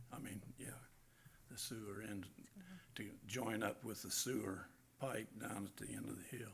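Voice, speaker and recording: At a moderate pace with long, frequent pauses, a man speaks in a fairly low pitch with vocal fry and ordinary pitch variation, with audible room echo. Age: 70s. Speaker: property owner speaking at public hearing. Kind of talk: public comment at council hearing. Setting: city council meeting. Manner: halting, many fillers.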